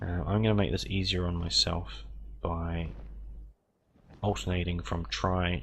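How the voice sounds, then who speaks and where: A man with a very deep, low voice and vocal fry swings his pitch very widely, with audible room echo around him. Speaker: gaming YouTuber. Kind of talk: gameplay commentary. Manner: halting, many fillers.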